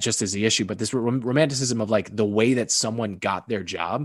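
Over a quiet background, a man with an American accent speaks at a moderate pace in a medium pitch with ordinary pitch variation, an ordinary speaking voice. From Massachusetts, outside Boston. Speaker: sports broadcaster. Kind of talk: casual chat.

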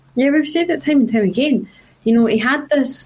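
A woman with a Glasgow accent at a very fast pace, ordinary pitch variation, and noticeable background noise. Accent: Scottish (Glasgow). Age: 20s. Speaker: journalism student and football pundit. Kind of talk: casual chat.

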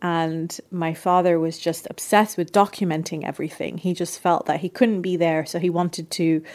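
A fairly low-pitched woman in a British accent. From England, UK, of Lebanese parents. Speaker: journalist and author. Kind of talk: interview.

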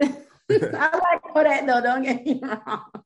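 Slow speech from a woman at a high pitch with ordinary pitch variation.

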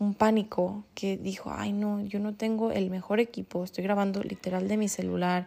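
On a very clean recording with a silent background, a woman with a medium-pitched voice and a dark, mellow tone speaks at a fairly slow pace. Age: 20s. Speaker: manifestation coach and podcast host. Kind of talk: solo motivational podcast monologue.

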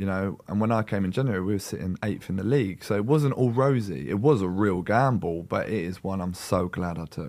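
With a London accent, a man talks at a fairly quick pace in a fairly low pitch with lively intonation, on a very clean recording with a silent background. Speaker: professional footballer. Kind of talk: casual chat.

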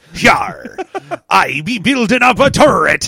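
Using a put-on character voice, a man goes extremely high in pitch. The delivery is fairly slow.

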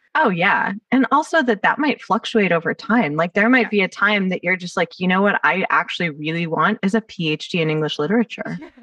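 At a fairly quick pace, a woman talks at a medium pitch with lively intonation. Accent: American. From California, Los Angeles area. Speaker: podcast host. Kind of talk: casual interview chat.

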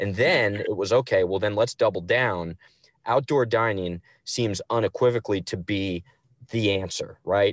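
In a plain, everyday voice, a man talks at a moderate pace with fairly low pitch and fairly even intonation, recorded with a dry, close sound with no echo against a quiet background. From New Jersey. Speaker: chef and restaurant owner. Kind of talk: casual chat.

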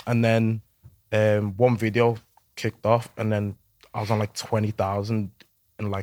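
Speaking in a Liverpool accent, a man with a fairly low pitch talks in a flat monotone with long, frequent pauses, the sound dry and close with no echo on a very clean recording with a silent background. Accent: Scouse. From Liverpool, England. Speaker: social media content creator. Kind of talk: casual chat. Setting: studio.

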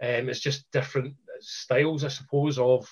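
Somewhat breathy Scottish-accented delivery from a man, medium in pitch, with fairly even intonation at a moderate pace. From Scotland. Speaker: karate instructor. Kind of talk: casual chat.

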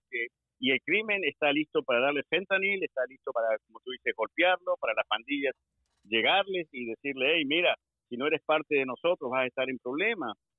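Lively intonation marks a man's normal speaking voice, which is fairly high in pitch and moves at a fairly quick pace. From Argentina. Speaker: former police officer. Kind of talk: interview.

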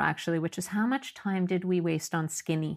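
A woman's fairly low-pitched voice at a moderate pace, a plain, everyday voice with fairly even intonation, on a very clean recording with a silent background. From Canada, Montreal. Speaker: psychotherapist. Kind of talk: interview.

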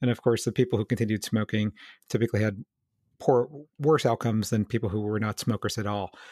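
A man's voice has a dark, mellow tone and fairly even intonation. The sound is dry and close, with no echo. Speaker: physical therapist, podcast host. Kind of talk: casual case discussion. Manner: louder than co-host on recording.

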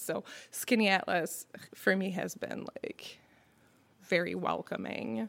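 This woman has a medium pitch with ordinary pitch variation. Vocal fry runs through her speech. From Quebec. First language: French. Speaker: restaurant co-owner. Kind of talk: casual interview chat.

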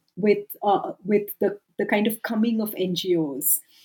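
Somewhat breathy and dark, mellow in tone, this woman's fairly high-pitched voice moves at a very slow pace. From India. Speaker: sociology professor and author. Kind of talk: academic interview.

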